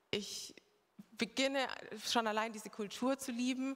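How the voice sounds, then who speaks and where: Her delivery is monotone, with flat intonation. The woman speaks at a very slow pace. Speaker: former overseas volunteer. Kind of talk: testimony. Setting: church service with congregation.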